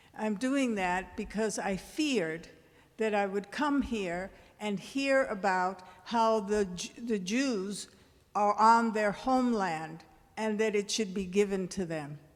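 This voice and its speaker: A woman speaks at a very slow pace with medium pitch and ordinary pitch variation, her voice carrying an audible room echo. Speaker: audience member, former teacher. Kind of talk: audience comment at town hall. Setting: church hall with audience. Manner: loud.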